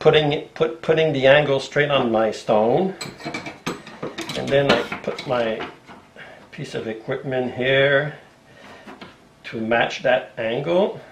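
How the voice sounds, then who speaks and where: Amid noticeable background noise and audible room echo, a man with a fairly high pitch speaks at a very slow pace with long, frequent pauses and ordinary pitch variation. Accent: French. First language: French. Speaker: bookbinder and leather craftsman. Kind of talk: tutorial. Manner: halting, with fillers and restarts.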